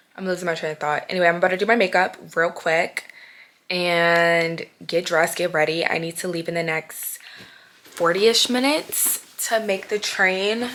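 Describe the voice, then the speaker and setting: A woman speaks at a moderate pace with a fairly low pitch. Her pitch varies in an ordinary way. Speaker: vlogger and podcaster. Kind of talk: casual vlog talk to camera. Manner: stumbling over words.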